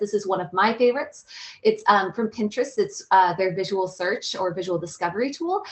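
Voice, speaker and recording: Noticeable background noise sits behind a woman's fairly high voice. She talks at a very fast pace with lively intonation. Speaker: meetup organizer. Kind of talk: event introduction presentation. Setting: video call.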